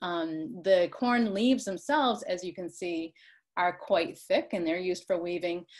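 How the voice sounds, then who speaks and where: In an ordinary speaking voice, a woman talks at a moderate pace and fairly low pitch, with ordinary pitch variation against a quiet background. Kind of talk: lecture. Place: home room. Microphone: video call.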